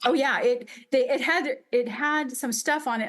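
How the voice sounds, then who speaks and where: A woman with an American accent talks at a moderate pace in a normal speaking voice, with ordinary pitch variation against a quiet background. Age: 50s. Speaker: upholsterer and business owner. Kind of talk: interview.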